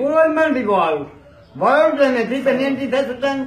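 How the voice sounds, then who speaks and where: A man with an extremely high pitch speaks with audible room echo and light background noise. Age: old. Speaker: interviewee. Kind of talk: street interview answer. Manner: rambling, garbled. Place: home room. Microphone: handheld.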